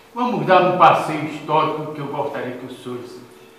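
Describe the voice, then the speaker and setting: Recorded with audible room echo and noticeable background noise, the man speaks with ordinary pitch variation. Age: 80s+. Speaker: retired army general, lecturer. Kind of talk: lecture. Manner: vibrant.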